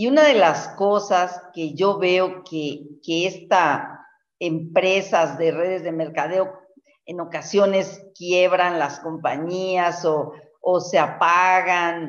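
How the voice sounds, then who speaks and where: Over a quiet background, a woman speaks at a very slow pace. Her pitch is fairly low and her intonation fairly even. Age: 60s. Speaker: network marketing leader and herbalist; guest. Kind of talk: mentoring talk. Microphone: video call.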